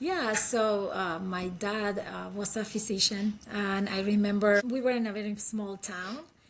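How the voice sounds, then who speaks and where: In a Uruguayan accent, a woman speaks at medium pitch and a fairly slow pace, with hardly any pauses. Her intonation is fairly even, and noticeable background noise is present. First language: Spanish. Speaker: critical care physician. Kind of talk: interview.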